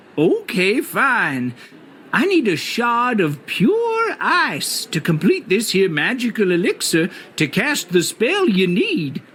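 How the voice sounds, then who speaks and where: Clear background noise sits behind a put-on character voice with a fairly high pitch. The delivery is fairly slow. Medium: video game. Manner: whimsical, theatrical.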